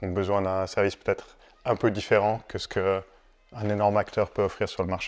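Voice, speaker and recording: A man speaks in a fairly low, flat monotone against a quiet background. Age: 40s. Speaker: company founder; guest. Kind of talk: casual chat. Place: home room.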